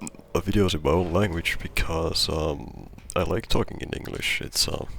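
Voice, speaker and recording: Quiet and very deep, a man's voice moves at a moderate pace with ordinary pitch variation. Noticeable background noise sits behind him. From not US or UK. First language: not English. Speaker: gamer, video creator. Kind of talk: casual chat. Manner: halting, many repetitions.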